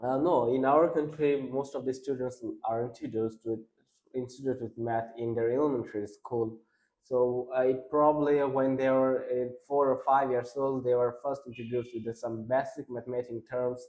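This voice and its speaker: A man with a Bengali accent speaks at a moderate pace. His pitch is medium and his intonation monotone and flat. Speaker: exam candidate. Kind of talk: speaking test interview. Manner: halting, many restarts and fillers.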